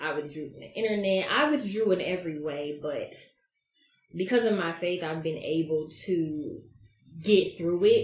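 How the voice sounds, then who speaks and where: Somewhat breathy and with an American accent, this voice moves at a moderate pace with lively intonation and big swings in loudness, with audible room echo. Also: woman, fairly low pitch for a woman. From US South, Georgia (Albany, then Atlanta). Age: 30s. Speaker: podcast host. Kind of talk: casual monologue. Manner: animated.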